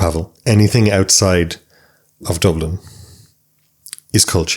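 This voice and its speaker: Speaking at a fairly slow pace, a man with a west of Ireland accent has a very deep, low pitch. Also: ordinary pitch variation. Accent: Irish, rural west of Ireland. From Ireland, County Sligo. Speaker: psychotherapist. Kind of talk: interview.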